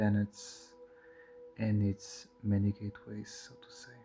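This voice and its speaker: Music plays in the background as a man with a fairly low pitch speaks at a very slow pace. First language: not English. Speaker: occult teacher. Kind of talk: spoken lecture. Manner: halting.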